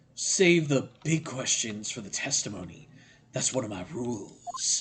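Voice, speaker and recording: A raspy, put-on character voice from a man, medium in pitch, with very wide pitch swings. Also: moderate pace. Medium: game stream.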